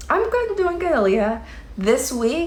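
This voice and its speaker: A woman is heard with audible room echo. Noticeable background noise runs behind her. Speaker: livestreamer commenting on online drama. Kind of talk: casual livestream chat reading comments. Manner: slow.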